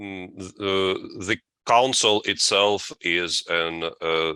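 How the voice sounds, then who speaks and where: A man with a Russian accent and a bright, sharp tone, on a very clean recording with a silent background. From Latvia, Russian family. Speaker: deacon and seminary professor. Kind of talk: interview. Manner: halting, many fillers.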